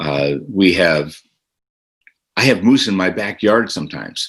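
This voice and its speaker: Against a quiet background, a man talks at a fairly slow pace with an American accent. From Alaska, near Fairbanks. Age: 70s. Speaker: state politician. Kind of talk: interview. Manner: halting, many filler words.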